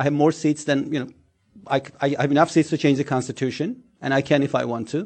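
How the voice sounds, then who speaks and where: Very fast speech from a man with a Turkish accent, fairly high in pitch and fairly even in intonation. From Turkey, Istanbul. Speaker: think tank scholar. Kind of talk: panel talk.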